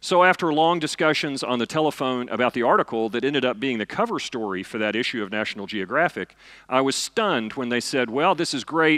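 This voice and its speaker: A loud man with a Southern US accent talks very fast with hardly any pauses, his medium-pitched voice bright and sharp with lively intonation, recorded in a dry, close sound with no echo. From US South, eastern Kentucky. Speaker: physicist and science fiction author. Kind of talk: lecture. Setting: stage with audience.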